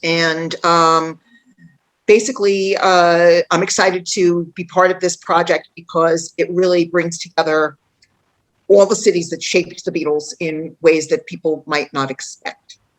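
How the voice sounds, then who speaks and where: Fairly low in pitch, a woman with a New York accent talks at a fairly slow pace with fairly even intonation. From New York City, Queens. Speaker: author and tour guide. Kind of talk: online panel introduction.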